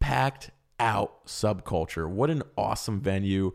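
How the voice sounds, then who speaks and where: On a very clean recording with a silent background, a man speaks. His tone is animated and his intonation lively. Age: 20s. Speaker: podcast host. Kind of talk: casual chat.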